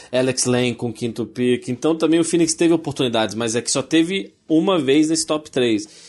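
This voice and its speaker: This is an ordinary speaking voice with ordinary pitch variation. It moves at a moderate pace with hardly any pauses. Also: man, medium pitch for a man. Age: 30s. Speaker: podcast co-host. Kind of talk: casual chat.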